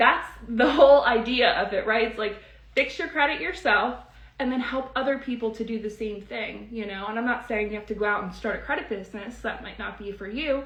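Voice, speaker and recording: Lively intonation and big swings in loudness mark this fairly quick delivery, heard with audible room echo and noticeable background noise. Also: woman, fairly high pitch for a woman. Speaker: credit repair educator. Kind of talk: live stream teaching and sales pitch. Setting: live stream. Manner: fast; animated.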